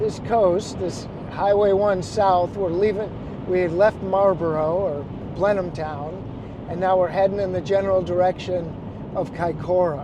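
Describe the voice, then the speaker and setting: With an American accent, a man speaks at a moderate pace in a high pitch with fairly even intonation, while noticeable background noise and audible room echo fill the recording. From Chicago, US Midwest. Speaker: photographer and travel vlogger. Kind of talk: casual vlog narration. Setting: in a car driving.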